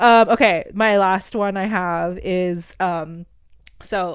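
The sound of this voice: A soft-spoken woman with a fairly low pitch and a clear, smooth tone.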